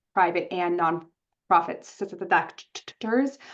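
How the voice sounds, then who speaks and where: This woman's voice sits at a medium pitch and moves up and down in an ordinary way. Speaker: webinar organizer introducing the panel. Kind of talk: webinar opening remarks. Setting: online webinar. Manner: halting, repeated syllables.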